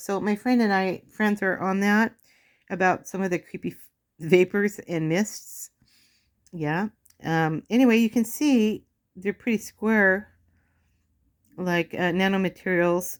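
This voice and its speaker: At a fairly slow pace, a woman speaks at medium pitch with ordinary pitch variation in a very clean recording with a silent background. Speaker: video blogger. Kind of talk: casual show-and-tell video. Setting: home, sitting on bed. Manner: loud.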